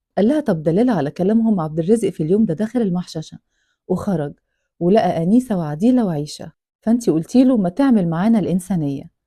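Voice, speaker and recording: Speaking at a fairly quick pace with an Egyptian accent, a woman has a dark, mellow, somewhat breathy voice at medium pitch with lively intonation. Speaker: storyteller reading a true-crime book. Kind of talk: reading aloud with narration.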